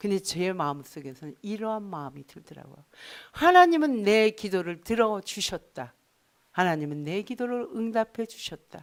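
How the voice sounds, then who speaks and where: Speaking at a moderate pace, a woman uses a medium pitch with very wide pitch swings and big swings in loudness. The recording is very clean, with a silent background. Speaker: pastor. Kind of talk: sermon.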